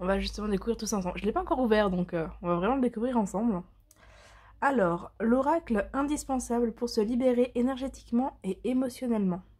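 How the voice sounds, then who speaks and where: The voice has a dark, mellow tone, is somewhat breathy, and moves at a fairly quick pace. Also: woman. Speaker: tarot and oracle card reader. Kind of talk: product presentation. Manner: hesitant, many fillers.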